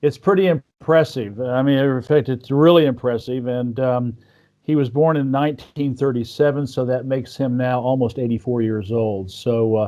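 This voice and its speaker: Here a man talks at a moderate pace. His pitch is medium, with ordinary pitch variation. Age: 60s. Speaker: podcast host. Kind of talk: interview. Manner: halting.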